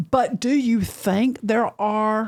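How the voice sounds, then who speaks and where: The voice has ordinary pitch variation in a very clean recording with a silent background. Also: woman. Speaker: podcast host. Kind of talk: interview.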